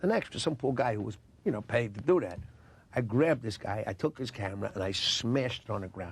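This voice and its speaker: At a very fast pace, a man with a New York accent speaks in a medium pitch with lively intonation and a somewhat breathy sound. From Queens, New York. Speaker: actor. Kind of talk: interview answer.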